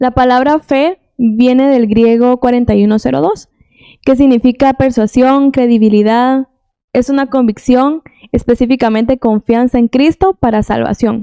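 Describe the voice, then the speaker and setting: A woman speaks fairly slowly in a high pitch with a dark, mellow tone, very even loudness and ordinary pitch variation. The sound is dry and close with no echo. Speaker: Bible teacher. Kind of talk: Bible teaching.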